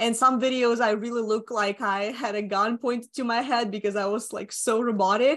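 A woman with a slight Russian accent speaks at a moderate pace in a monotone, flat intonation, with hardly any pauses and a quiet background. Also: fairly high pitch for a woman. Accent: light Russian-accented English. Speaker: social media marketing agency owner. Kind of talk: podcast interview.

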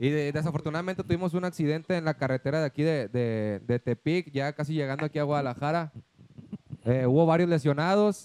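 In a plain, everyday voice, a man talks at a fairly quick pace and fairly high pitch, with ordinary pitch variation and a dry, close sound with no echo. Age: 20s. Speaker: singer. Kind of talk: casual chat.

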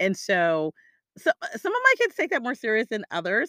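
Dry and close with no echo, a woman's bright, sharp voice comes across animated at a fairly quick pace. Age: 40s. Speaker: career coach and podcast host. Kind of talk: solo podcast monologue.

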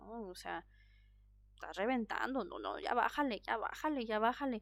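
In a very clean recording with a silent background, a woman speaks at a fairly high pitch with ordinary pitch variation. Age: 30s. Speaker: podcast host. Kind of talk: solo podcast monologue. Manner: animated.

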